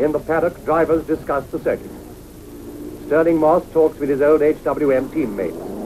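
Over noticeable background noise, a man with a fairly high pitch speaks at a moderate pace. His tone is upbeat and animated. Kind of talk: 1950s newsreel race commentary. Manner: brisk, clipped, animated commentary; crisp, formal, upbeat period narrator.

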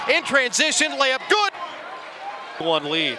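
A man's extremely high-pitched voice comes through noticeable background noise. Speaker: sports commentator. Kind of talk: live play-by-play basketball commentary. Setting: broadcasting a college game from the arena. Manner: animated, with a shouted 'it's good!' on big threes.

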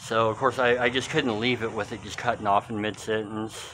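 A man talks at a moderate pace with ordinary pitch variation. Light background noise sits behind him. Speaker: urban explorer vlogger. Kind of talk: casual vlog chat. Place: church. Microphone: phone near.

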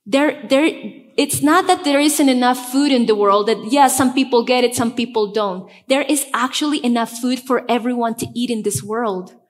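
This woman's voice is high-pitched, with ordinary pitch variation and a Spanish accent. The background is quiet. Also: moderate pace. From Bolivia, La Paz. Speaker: pastor. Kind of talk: sermon. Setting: church. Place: church. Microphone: headset.

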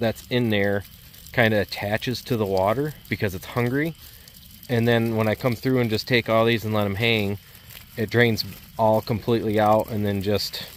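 A man talks at a moderate pace in a fairly low voice with fairly even intonation. The sound is dry with no echo, and there is light background noise. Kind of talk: casual vlog chat. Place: forest. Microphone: phone near.

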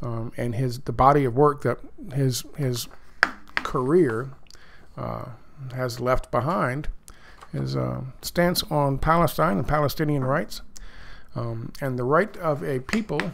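A man with an American accent speaks at a slow pace, leaving long, frequent pauses. His medium pitch shows ordinary variation and vocal fry.

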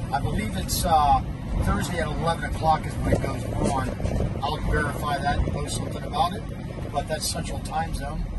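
Loud background noise runs under the speech. The pace is fairly quick. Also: man. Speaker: racing fan vlogger. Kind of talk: casual vlog chat. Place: car. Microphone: phone near.

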